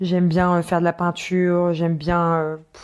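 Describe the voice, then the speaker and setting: In a very clean recording with a silent background, a woman speaks at a moderate pace in a fairly low pitch and a flat monotone. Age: 30s. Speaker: podcaster. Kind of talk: scripted intro; casual monologue. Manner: hesitant with fillers.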